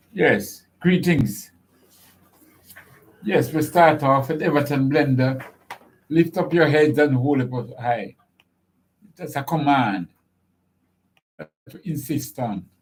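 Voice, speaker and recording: A man with a fairly high pitch speaks very slowly and somewhat breathily, using ordinary pitch variation and long, frequent pauses. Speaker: radio show host. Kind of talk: live radio hosting.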